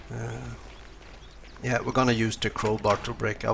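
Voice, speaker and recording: A man talks with a non-native accent over noticeable background noise. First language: not English. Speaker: video game guide creator. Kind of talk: gameplay tutorial. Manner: halting, many fillers.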